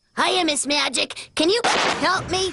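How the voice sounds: A squeaky, cartoonish character voice speaks at a fairly slow pace. Sound effects play in the background. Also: female-sounding voice, extremely high pitch for a woman.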